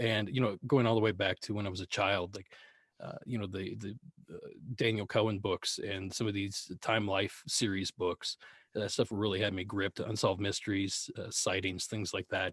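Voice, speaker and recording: A man with an American accent speaks at a moderate pace in a fairly low pitch and a monotone, flat intonation. The background is quiet, and the sound is dry and close with no echo. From US, Appalachia. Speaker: podcast host interviewed as guest. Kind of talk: casual interview. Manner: halting.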